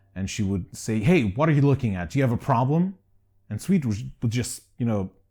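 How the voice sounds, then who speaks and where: A man speaks at a fairly quick pace in a medium pitch, his voice somewhat breathy and his intonation lively. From Greece. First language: Greek. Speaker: documentary filmmaker. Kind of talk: personal testimony.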